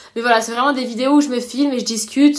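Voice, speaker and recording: Amid noticeable background noise, a woman keeps her intonation fairly even. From Réunion. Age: 20s. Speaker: professional triathlete. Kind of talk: casual interview.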